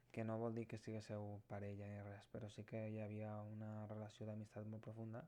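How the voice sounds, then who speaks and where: A man's dark, mellow voice comes at a fairly low pitch and a moderate pace. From Terres de l'Ebre, Catalonia. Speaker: tarot reader. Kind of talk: tarot reading talk to camera.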